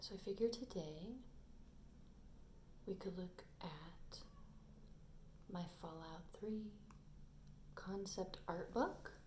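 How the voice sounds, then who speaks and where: A soft-spoken, somewhat breathy woman's voice, medium in pitch and dark and mellow in tone, at a very slow pace with ordinary pitch variation and long, frequent pauses. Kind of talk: ASMR soft-spoken rambling.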